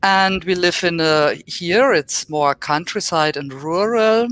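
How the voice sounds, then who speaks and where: A woman with a German accent speaks at a very slow pace, her pitch varying in an ordinary way. The recording is very clean with a silent background, and the sound is dry and close with no echo. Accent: German accent in English, basic English. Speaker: professor. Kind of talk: lecture.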